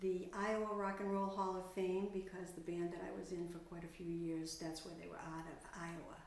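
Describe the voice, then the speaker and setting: Noticeable background noise and audible room echo surround the recording. The speaker is a woman with an American accent. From Massachusetts South Shore (Quincy). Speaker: retired singer, community resident. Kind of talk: interview.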